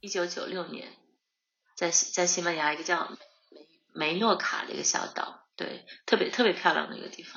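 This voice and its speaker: A woman's fairly low voice with vocal fry, fairly even intonation, a moderate pace and big swings in loudness. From northeast China, Harbin. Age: 30s. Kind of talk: interview conversation. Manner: halting, many fillers and repetitions.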